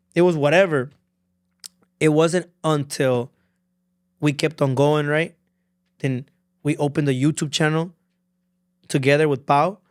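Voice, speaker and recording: Speaking with a Spanish accent, the voice leaves long, frequent pauses on a very clean recording with a silent background. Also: man, fairly high pitch for a man, moderate pace. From Honduras. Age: 20s. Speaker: content creator and musician. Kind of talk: casual podcast interview. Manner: animated, code-switching; monotone (self-described).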